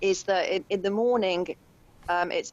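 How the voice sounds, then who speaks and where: Speaking at a fairly quick pace, a woman with a British accent talks at a medium pitch. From UK. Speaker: intuitive painter. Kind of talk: podcast interview.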